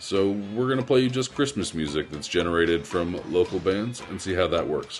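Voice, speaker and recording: A man's fairly low, relaxed, warm voice with lively intonation and a fairly quick pace over music in the background. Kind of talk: radio DJ patter, festive holiday show intro and back-announcing tracks. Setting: radio studio broadcast. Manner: warm, upbeat, breezy and chatty; casual with cheerful holiday greetings; relaxed, conversational, a bit rambling and self-correcting.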